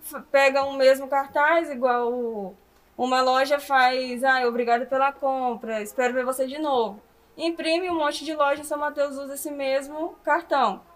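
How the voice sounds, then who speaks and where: High-pitched woman's speech, fairly even in intonation, at a medium pace. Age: 20s. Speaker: small business owner, online clothing store. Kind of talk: interview.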